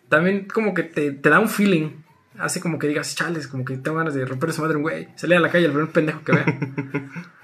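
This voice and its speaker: Noticeable background noise surrounds a man speaking at a fairly quick pace. His pitch is fairly high and his intonation fairly even. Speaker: podcast co-host. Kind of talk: casual chat. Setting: recorded remotely.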